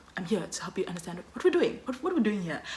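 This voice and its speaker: A woman's energetic tone at a very fast pace, with noticeable background noise. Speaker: student vlogger. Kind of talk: casual vlog talk. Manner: loud, energetic.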